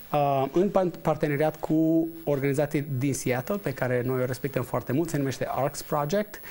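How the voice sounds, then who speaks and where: Using hardly any pauses, a man talks at a moderate pace in a fairly high pitch with a dark, mellow tone and ordinary pitch variation. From Romania. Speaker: entrepreneur and investor; guest. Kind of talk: TV interview. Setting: studio. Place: studio. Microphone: lapel.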